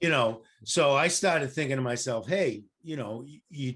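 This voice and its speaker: A man with an ordinary speaking voice talks at a fairly slow pace and medium pitch. The background is quiet. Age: 60s. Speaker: real estate investor. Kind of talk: casual chat. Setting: podcast interview.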